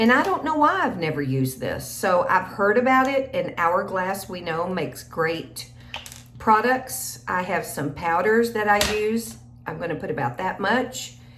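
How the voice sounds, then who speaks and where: A woman with an American accent at a medium pitch, very wide pitch swings and a fairly slow pace, with noticeable background noise and audible room echo. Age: 60s. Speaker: beauty vlogger. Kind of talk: get-ready-with-me makeup tutorial. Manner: casual, chatty.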